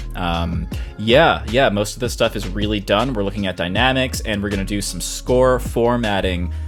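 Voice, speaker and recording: Music sits in the background behind the speaker. The voice moves at a moderate pace with very wide pitch swings. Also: man, very deep, low pitch for a man. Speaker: composer. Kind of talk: casual screen-recording commentary.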